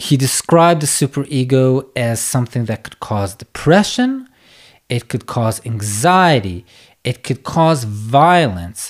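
A man talks at a fairly slow pace in a calm tone and a medium pitch. His intonation is lively. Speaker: psychotherapist and podcast host. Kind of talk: solo educational podcast. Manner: slow-paced; calm, unhurried.

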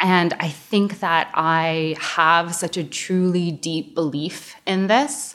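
Speaking in an American accent, a woman uses a fairly low pitch. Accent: American with slight Canadian touches. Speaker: osteopath. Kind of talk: interview.

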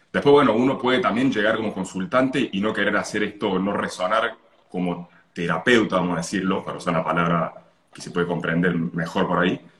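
Against noticeable background noise, a man with a fairly low pitch talks fairly quickly with ordinary pitch variation. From Italy and Argentina, moved often. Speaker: holistic therapy consultant. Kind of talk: casual interview.

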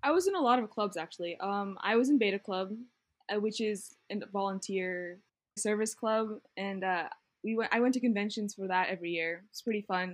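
In an American accent, a woman talks at a fairly quick pace with a medium pitch. She has a plain, everyday voice with ordinary pitch variation. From Virginia, US. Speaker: engineering student. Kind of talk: interview.

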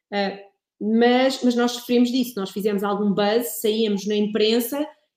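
With fairly even intonation, a woman uses an ordinary speaking voice at a fairly high pitch. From Portugal, Ribatejo. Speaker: wine producer and communications consultant. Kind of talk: casual interview.

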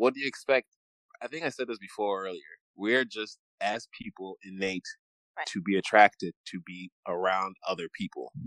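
Recorded dry and close with no echo, a man with an American accent and an unremarkable speaking voice talks at a moderate pace and fairly low pitch, with ordinary pitch variation and big swings in loudness. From Uganda, raised partly in Michigan. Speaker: podcast co-host. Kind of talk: casual chat.

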